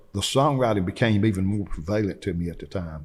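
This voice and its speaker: Recorded very cleanly against a silent background, a man with an American accent talks at a fairly quick pace in a very deep, low pitch with ordinary pitch variation. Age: 60s. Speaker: singer-songwriter. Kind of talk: interview. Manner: relaxed, conversational.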